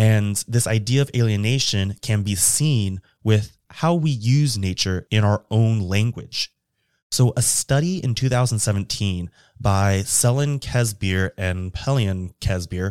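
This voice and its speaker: In a plain, everyday voice, a man with an American accent speaks at fairly low pitch and a fairly slow pace with ordinary pitch variation, in a very clean recording with a silent background and a dry, close sound with no echo. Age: 30s. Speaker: podcast host. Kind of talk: scripted narration.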